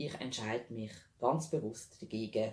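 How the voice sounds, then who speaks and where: This man talks at a very slow pace with a Swiss accent. His intonation is lively and his voice somewhat breathy. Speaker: animal health practitioner specialising in nutrition. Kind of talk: informational talk to camera.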